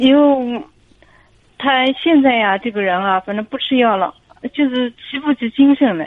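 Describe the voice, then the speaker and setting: A woman's high-pitched voice with ordinary pitch variation and long, frequent pauses. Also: moderate pace. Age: 40s. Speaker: caller. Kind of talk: phone-in advice talk.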